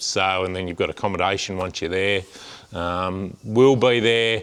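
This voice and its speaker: At a fairly slow pace, a man with an Australian accent speaks in a bright, sharp tone with ordinary pitch variation. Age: 40s. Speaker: farmer and amateur motorbike racer. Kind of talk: vlog. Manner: hesitant, many fillers.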